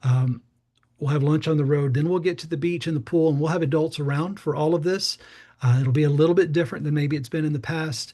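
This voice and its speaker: Talking at a very fast pace with an American accent, a man uses a fairly high pitch, fairly even intonation and a somewhat breathy, dark, mellow tone. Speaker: youth pastor. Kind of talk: informational briefing. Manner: casual, many fillers.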